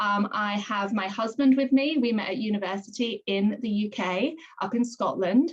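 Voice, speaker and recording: Her pitch sits in the medium range. This woman's pitch varies in an ordinary way. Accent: British. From London, England. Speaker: direct sales consultant. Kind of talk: video call testimony.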